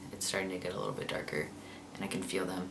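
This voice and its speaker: A man's speech carries audible room echo along with noticeable background noise. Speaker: vlogger. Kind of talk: casual video diary. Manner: hesitant, many fillers.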